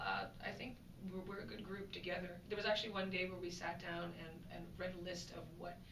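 Noticeable background noise surrounds a woman speaking at a fairly quick pace. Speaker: actress promoting a TV show. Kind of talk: interview answer. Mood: cheerful, laughing often. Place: home room.

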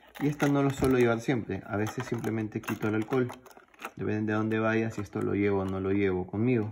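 Noticeable background noise sits behind a man talking at a very fast pace. His pitch is fairly low and his intonation fairly even. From Peru. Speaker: YouTuber, pocket knife collector; YouTuber. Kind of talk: show-and-tell video.

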